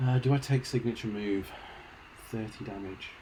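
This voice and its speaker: Dark and mellow in tone, a man's somewhat breathy voice moves at a moderate pace with fairly even intonation. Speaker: video game streamer. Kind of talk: live gameplay commentary. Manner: casual, chatty.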